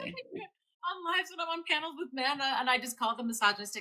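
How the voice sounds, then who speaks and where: A woman speaks in a high, bright, sharp voice that is raised and projected. Her pitch swings very widely. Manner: direct, blunt.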